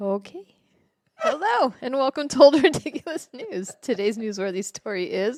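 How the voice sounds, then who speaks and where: Very wide pitch swings and big swings in loudness at a moderate pace. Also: woman, high pitch for a woman. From US. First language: Portuguese. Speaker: podcast co-host. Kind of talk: reading aloud.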